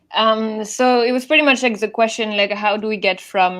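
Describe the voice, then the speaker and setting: Against a quiet background, a woman speaks with a French accent. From France. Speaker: event organizer. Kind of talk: conference talk. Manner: halting, many fillers.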